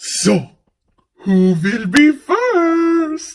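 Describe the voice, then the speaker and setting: With very wide pitch swings, a woman performs a high-pitched, put-on character voice. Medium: read story. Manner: theatrical, grand, exclamatory.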